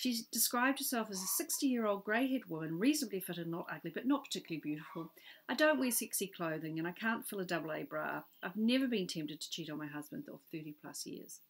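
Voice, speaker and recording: In a very clean recording with a silent background, a woman at a medium pitch races along at a very fast pace with hardly any pauses and very wide pitch swings. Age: 50s. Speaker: author. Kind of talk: reading aloud.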